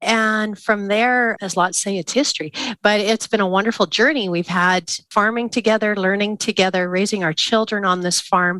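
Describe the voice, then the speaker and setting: Against a quiet background, a woman with a Canadian prairie accent speaks in a bright, sharp tone. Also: medium pitch for a woman, fairly even intonation, moderate pace. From southern Saskatchewan, Canada. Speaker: grain farmer and speaker. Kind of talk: casual interview chat.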